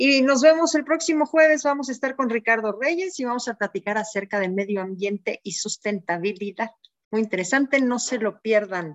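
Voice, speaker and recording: Her voice fairly high in pitch, a woman talks at a moderate pace in a plain, everyday voice. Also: lively intonation. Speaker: show producer. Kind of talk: casual chat.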